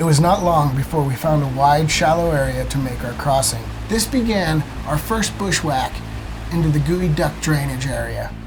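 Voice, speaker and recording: With an American accent, a man talks at a moderate pace, with noticeable background noise and audible room echo around him. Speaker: outdoor video host. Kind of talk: scripted narration.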